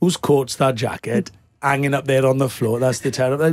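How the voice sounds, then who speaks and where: Against a quiet background, a man with a Welsh accent speaks at medium pitch and a fairly quick pace. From Wales. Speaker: actor. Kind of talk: interview answer. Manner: casual, playful. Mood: jovial, laughing often. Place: studio. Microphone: studio mic.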